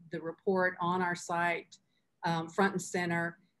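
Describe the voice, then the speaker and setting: A woman with an unremarkable speaking voice, fairly low in pitch, at a moderate pace. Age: 60s. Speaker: philanthropy leader. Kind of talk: panel discussion.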